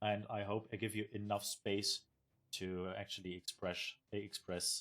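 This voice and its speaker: In a German accent, a man speaks at a fairly slow pace and fairly low pitch with monotone, flat intonation. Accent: German accent, recognizable. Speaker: esports caster and streamer. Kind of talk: live commentary. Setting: live stream. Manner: halting, many fillers.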